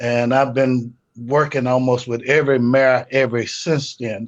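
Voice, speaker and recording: With an American accent, a man talks at a very slow pace and a medium pitch. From Houston, Texas. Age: 60s. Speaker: pastor. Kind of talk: panel discussion.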